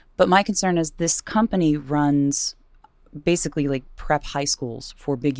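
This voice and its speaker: A woman's very deep, low voice with an American accent, ordinary pitch variation and a moderate pace, on a very clean recording with a silent background. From Virginia, US. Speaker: radio host and singer. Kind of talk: casual interview chat.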